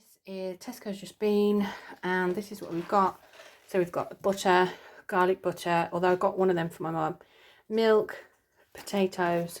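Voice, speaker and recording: Speaking with an English accent, a woman keeps a medium pitch and a monotone, flat intonation at a moderate pace. The recording is very clean, with a silent background. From UK. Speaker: vlogger, single mum. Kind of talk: casual vlog chat to camera. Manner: chatty, hesitant with many ums.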